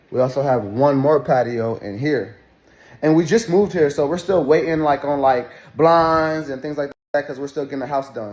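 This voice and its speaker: A man's fairly high voice, a plain, everyday voice, at a moderate pace with ordinary pitch variation in a very clean recording with a silent background. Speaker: vlogger. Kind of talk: storytelling to camera. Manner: casual.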